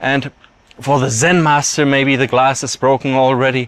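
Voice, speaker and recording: Non-native accent at a moderate pace. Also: man. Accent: weird foreign accent in English. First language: German. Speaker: YouTube commentator. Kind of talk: monologue.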